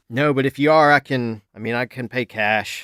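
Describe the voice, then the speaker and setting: A man mumbles in a put-on character voice at medium pitch, with fairly even intonation and a moderate pace, the sound dry and close with no echo in a very clean recording with a silent background. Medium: actual play. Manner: halting, mumbling, full of fillers.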